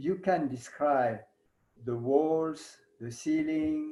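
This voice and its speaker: The speaker has a French accent and a dark, mellow tone. The pace is very slow, with ordinary pitch variation. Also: man. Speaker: yoga teacher. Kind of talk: lecture. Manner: halting.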